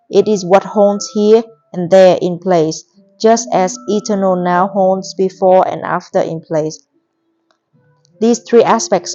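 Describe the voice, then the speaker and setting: Over music in the background, a woman with a medium pitch talks at a fairly slow pace. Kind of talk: audiobook reading.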